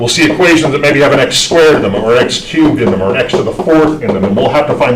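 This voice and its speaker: A man with a fairly high pitch talks at a very fast pace, with audible room echo and noticeable background noise. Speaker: math instructor. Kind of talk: lecture.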